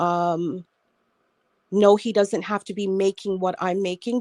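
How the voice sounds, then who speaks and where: Very clean and silent in the background, this recording has a dry, close sound with no echo. A woman with an unremarkable speaking voice talks at medium pitch and moderate pace, her intonation fairly even. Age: 60s. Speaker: panelist on online talk show. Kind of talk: casual panel discussion.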